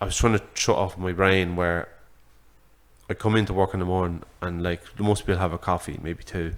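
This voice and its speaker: A man with a very deep, low voice and an Irish accent, at a moderate pace with fairly even intonation. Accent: Irish (Louth). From Ireland, Drogheda. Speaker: boxing social media creator. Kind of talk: podcast conversation. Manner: halting, many fillers.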